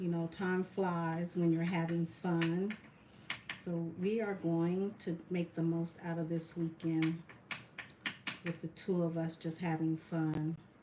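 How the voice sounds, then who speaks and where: Over noticeable background noise, a woman speaks very slowly in a fairly low, monotone, flat voice. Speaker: resin artist, military veteran. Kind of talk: live craft tutorial. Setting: livestream.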